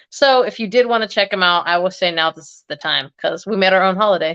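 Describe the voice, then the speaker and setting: A woman at a medium pitch and fairly quick pace, with a bright, sharp tone and a quiet background. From US, Egyptian family. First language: Arabic (Egyptian dialect). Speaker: fragrance YouTuber. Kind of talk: casual chat. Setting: livestream.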